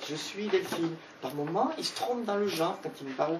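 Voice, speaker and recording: A woman speaks at a moderate pace, her pitch swinging very widely. Background noise is noticeable. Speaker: author presenting her book. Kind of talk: book talk with audience. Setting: bookshop event with audience.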